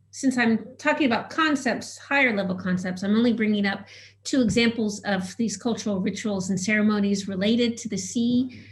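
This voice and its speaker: Audible room echo surrounds a woman with a fairly high, somewhat breathy voice who speaks at a fairly quick pace with ordinary pitch variation. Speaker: cultural anthropologist. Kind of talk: conference presentation. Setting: video call webinar. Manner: fast; halting with many fillers.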